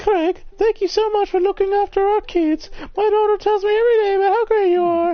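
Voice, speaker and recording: A put-on character voice at an extremely high pitch moves along at a fairly quick pace. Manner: effusive, polite.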